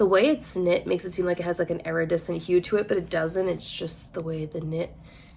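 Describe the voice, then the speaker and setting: The speaker has an American accent. Noticeable background noise runs behind the voice. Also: woman. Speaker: online clothing reseller and vlogger. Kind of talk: casual haul vlog talk to camera. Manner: chatty, with many fillers.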